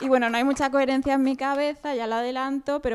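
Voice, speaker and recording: This woman is recorded very cleanly against a silent background. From Catalonia, Sabadell. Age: 30s. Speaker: dating-game contestant on comedy podcast. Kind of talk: casual comedic chat.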